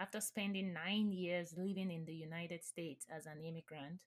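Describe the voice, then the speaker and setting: A somewhat breathy woman talks at a moderate pace and medium pitch, with fairly even intonation. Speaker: podcast host, CEO and nonprofit founder. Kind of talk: scripted narration.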